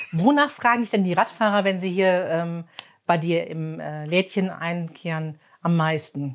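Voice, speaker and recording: A woman uses an ordinary speaking voice at a fairly low pitch. She talks at a fairly slow pace with ordinary pitch variation. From Emsland, Germany. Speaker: podcast host. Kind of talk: interview. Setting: in a shop.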